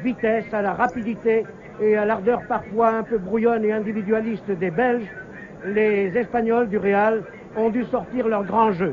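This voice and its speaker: A man's high-pitched voice at a very slow pace, monotone and flat, over light background noise. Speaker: live football TV commentator. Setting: stadium, noisy crowd with horns and trumpets. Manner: formal, fluent, measured broadcaster delivery. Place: stadium. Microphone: old recording.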